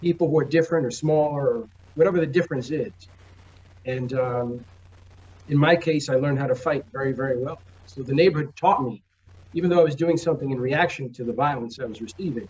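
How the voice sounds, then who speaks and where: A somewhat breathy man speaks at a very fast pace with ordinary pitch variation and long, frequent pauses. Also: fairly high pitch for a man. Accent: New York. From New York, the Bronx. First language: Spanish. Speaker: comic book publisher. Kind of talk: interview.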